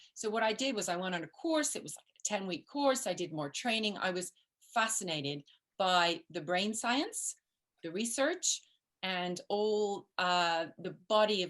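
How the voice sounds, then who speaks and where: Her intonation is lively as a woman speaks in a medium pitch. She keeps a moderate pace. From grew up in the US, English-born. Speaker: parenting coach. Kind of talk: interview.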